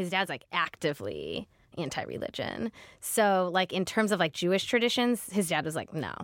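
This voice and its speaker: A woman's fairly low, vocal-fry-tinged voice with an American accent, at a moderate pace on a very clean recording with a silent background. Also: ordinary pitch variation. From US Midwest, Ohio near Cleveland. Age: 30s. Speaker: TV comedy writer and producer. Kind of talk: casual interview. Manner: animated.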